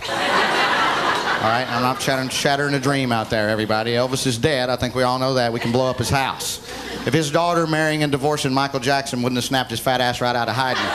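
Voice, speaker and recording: At a very fast pace, a man talks with medium pitch and fairly even intonation. Audible room echo and noticeable background noise surround him. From US South, Oxford, Alabama. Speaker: stand-up comedian. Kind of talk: stand-up.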